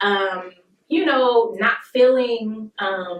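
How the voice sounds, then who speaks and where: Speaking in an American accent, a woman keeps her voice at a fairly high pitch. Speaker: R&B singer. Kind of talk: casual interview. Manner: halting, many fillers.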